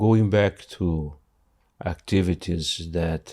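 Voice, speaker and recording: A man's very deep, low voice at a very slow pace, with fairly even intonation. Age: 60s. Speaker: retired insurance adjuster sharing depression journey. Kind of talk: podcast interview. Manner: halting, many fillers and restarts.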